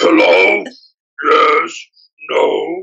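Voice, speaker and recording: A man speaks in a put-on character voice. His pitch is extremely high. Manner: pretend mom answering phone.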